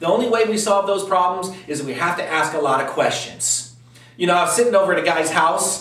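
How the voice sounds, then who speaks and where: A man's animated, fairly quick delivery with ordinary pitch variation, audible room echo and noticeable background noise. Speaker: real estate investor. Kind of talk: direct-to-camera talk. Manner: fast.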